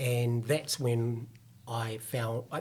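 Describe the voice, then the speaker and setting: A somewhat breathy man's voice at a medium pitch, with a New Zealand accent. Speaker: fitness company executive. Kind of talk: podcast interview.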